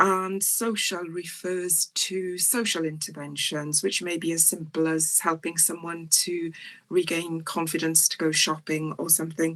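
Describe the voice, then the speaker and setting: A woman with a South Welsh accent, fairly low in pitch, at a fairly slow pace with fairly even intonation. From South Wales, near Port Talbot. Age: 60s. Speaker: psychiatrist. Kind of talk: lecture. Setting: online talk. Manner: hesitant, frequent ums.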